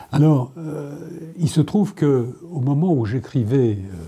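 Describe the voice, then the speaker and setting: Over noticeable background noise, the man's intonation is lively. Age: 70s. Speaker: novelist. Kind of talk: interview. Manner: hesitant, many fillers.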